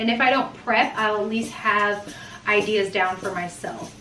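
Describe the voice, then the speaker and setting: The recording has light background noise and audible room echo. A woman talks at a fairly slow pace. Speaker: mom vlogger. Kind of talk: casual vlog chat. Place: kitchen. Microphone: camera far.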